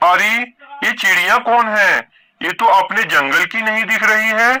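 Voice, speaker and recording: A man's cartoonish character voice, high in pitch, at a moderate pace. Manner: greedy, scheming.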